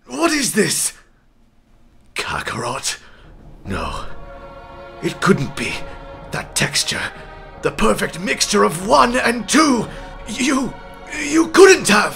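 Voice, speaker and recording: Faint music plays in the background as a man does a high-pitched put-on character voice at a very slow pace. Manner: arrogant, gloating, then shocked.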